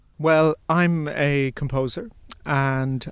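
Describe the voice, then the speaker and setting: With an Irish accent, a man talks at medium pitch and with fairly even intonation. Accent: flat Irish. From Ireland, Limerick family, partly Bundoran. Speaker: composer and artistic director. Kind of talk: interview. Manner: hesitant, many fillers.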